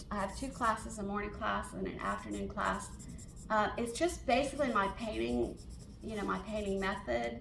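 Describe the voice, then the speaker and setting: In a room with audible echo, a woman with an American accent speaks at a moderate pace. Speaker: portrait artist and painting teacher. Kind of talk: Q&A at a member meeting. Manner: halting, many fillers.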